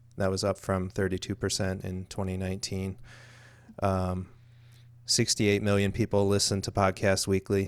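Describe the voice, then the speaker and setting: In a very clean recording over a silent background, a man with a very deep, low voice talks at a moderate pace in a flat monotone. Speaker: podcast co-host. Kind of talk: casual chat.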